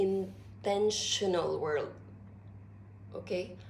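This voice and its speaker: A woman's voice with audible room echo. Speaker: philosophy vlogger. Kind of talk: informal lecture. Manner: slow; deliberate.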